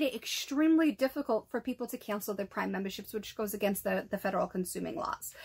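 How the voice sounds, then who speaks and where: Talking at a very fast pace with hardly any pauses, a woman uses lively intonation. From Massachusetts. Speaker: podcast host. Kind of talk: solo podcast monologue.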